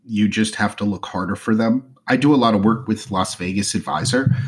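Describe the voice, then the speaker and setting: This is a man with a plain, everyday voice and an American accent. He talks at a moderate pace with a medium pitch. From New Jersey. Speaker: luxury travel and casino loyalty blogger, podcaster. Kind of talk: casual interview chat.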